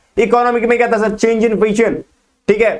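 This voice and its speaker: A man's voice with audible room echo. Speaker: business studies teacher. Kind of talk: lecture. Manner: fast.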